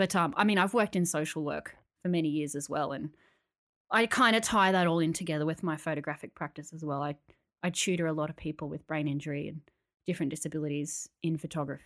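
A woman talks at a very fast pace in an Australian accent, her voice very deep and low with ordinary pitch variation. The recording is very clean with a silent background. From Australia, Canberra. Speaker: podcast co-host, photographer. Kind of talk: casual chat.

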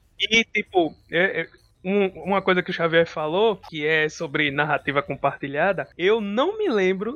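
A high-pitched man at a fairly slow pace. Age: 30s. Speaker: psychologist and tabletop RPG podcast co-host. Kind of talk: casual chat.

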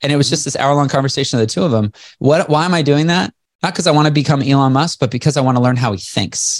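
A man rushes along at a very fast pace, his pitch varying in an ordinary way. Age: 40s. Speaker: entrepreneur and motivational speaker. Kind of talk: interview. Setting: video call.

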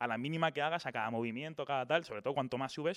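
A man speaks at a fairly quick pace with a fairly high pitch. His pitch varies in an ordinary way, and the recording is very clean with a silent background. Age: 20s. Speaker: YouTuber. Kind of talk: casual interview.

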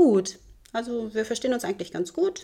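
A woman's dark, mellow tone at a fairly quick pace, with very wide pitch swings. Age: 50s. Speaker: school office worker. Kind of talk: interview.

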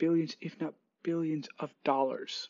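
The man speaks at a fairly slow pace and a high pitch. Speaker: podcast host. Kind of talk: casual monologue. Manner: rambling, many fillers.

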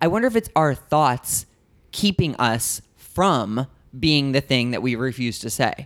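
On a very clean recording with a silent background, a man speaks slowly in an ordinary speaking voice at medium pitch, at a fairly slow pace. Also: lively intonation. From US Midwest, St. Louis Missouri. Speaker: podcast host and comedian. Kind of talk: casual chat; podcast intro monologue.

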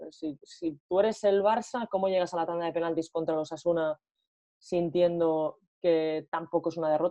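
Her pitch fairly low and intonation fairly even, a woman talks at a moderate pace. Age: 30s. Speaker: football coach and commentator, former player. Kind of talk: interview. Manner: hesitant, with many fillers.

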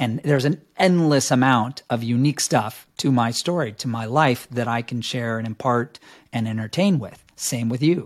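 A man speaks in a normal speaking voice, medium in pitch with ordinary pitch variation, at a moderate pace with hardly any pauses. The recording is very clean, with a silent background. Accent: American. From New York City. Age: 50s. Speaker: fitness video director and trainer coach. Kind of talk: podcast interview.

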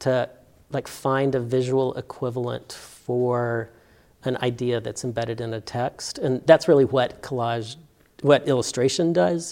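A man with a Southern US accent speaks at a moderate pace and a medium pitch. His tone is dark and mellow, with ordinary pitch variation. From Alabama, Birmingham. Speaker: art professor. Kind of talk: interview.

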